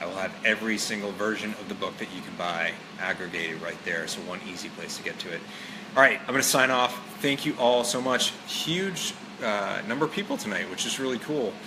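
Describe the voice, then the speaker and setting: A man's medium-pitched voice at a fairly quick pace, lively in intonation, over noticeable background noise. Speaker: author and fitness motivator. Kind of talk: casual live stream monologue. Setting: live stream with viewers. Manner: casual, many fillers.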